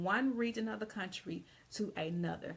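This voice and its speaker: A woman with a Southern US accent, her tone bright, sharp and animated. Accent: Southern drawl. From US South, Georgia. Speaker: English teacher and writing consultant. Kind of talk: live video lesson. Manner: casual, animated.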